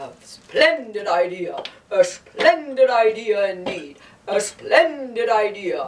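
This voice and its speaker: The delivery is very slow. It uses a cartoonish character voice. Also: man. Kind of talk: children's puppet show.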